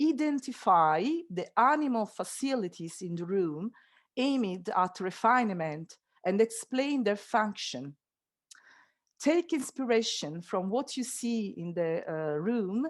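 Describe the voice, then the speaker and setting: A woman speaks at a fairly slow pace with an Italian accent. Her pitch swings very widely. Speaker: school teacher. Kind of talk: online workshop presentation. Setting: video call. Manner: hesitant, many fillers; deliberately slow.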